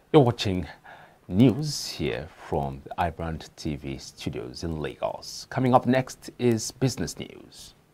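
In a very slow delivery, a man's very deep, low voice carries vocal fry and a dark, mellow tone, with very wide pitch swings and big swings in loudness. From Nigeria. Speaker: news anchor. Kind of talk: newsreading, scripted studio bulletin. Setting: studio. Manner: formal, measured, steady newsreader delivery. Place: studio. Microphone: lapel.

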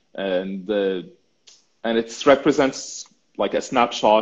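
At a medium pitch, a man talks with fairly even intonation. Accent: Arabic. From Syria. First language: Arabic. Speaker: urban planning student and mapping project creator. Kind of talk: interview. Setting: livestream video call. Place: home room. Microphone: video call.

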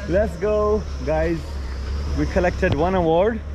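Noticeable background noise behind a man at a fairly slow pace. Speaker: car owner vlogger. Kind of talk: casual vlog chat. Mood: cheerful, slightly disappointed. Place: garden. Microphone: phone near.

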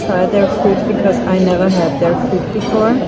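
A woman with music in the background. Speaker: travel vlogger. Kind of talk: casual vlog chat. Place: cafe. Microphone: phone near.

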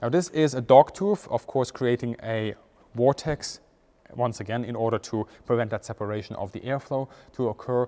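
A man with a dark, mellow tone talks at a moderate pace, his pitch varying in an ordinary way. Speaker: presenter. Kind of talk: tutorial. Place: hall.

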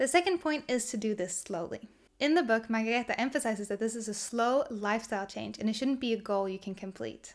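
A woman's fairly high voice at a very fast pace over a quiet background. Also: ordinary pitch variation. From Sweden. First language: Swedish. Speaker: minimalism content creator. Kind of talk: casual talk to camera. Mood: warm, smiling, relaxed. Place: home room.

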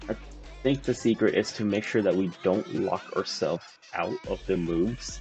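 A man talking at a moderate pace over music in the background. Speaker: gamer. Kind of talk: casual gameplay commentary. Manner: whispered. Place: home room.

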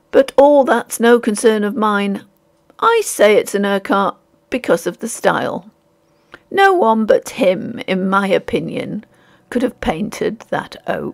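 A woman puts on a character voice that is hoarse and fairly high. She speaks at a fairly slow pace with ordinary pitch variation. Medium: read story. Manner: indifferent, impassive, weary.

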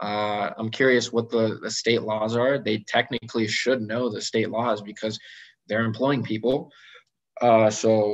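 Over a quiet background, a man with an American accent talks at a moderate pace in a monotone, flat intonation. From California. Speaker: general dentist; guest. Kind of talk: online presentation with Q&A. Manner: casual with many fillers. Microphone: video call.

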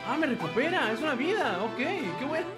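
Over clear background music, a man speaks at a fairly quick pace in an extremely high pitch with big pitch swings.

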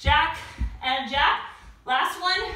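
A woman speaks in a raised, projected voice with ordinary pitch variation, audible room echo and light background noise. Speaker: fitness instructor. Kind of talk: workout instruction. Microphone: camera far.

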